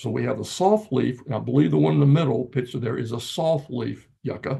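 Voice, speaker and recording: A man with a Virginia accent talks at a moderate pace in a medium pitch, his dark, mellow tone carrying vocal fry. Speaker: gardening speaker. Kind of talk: presentation. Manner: halting.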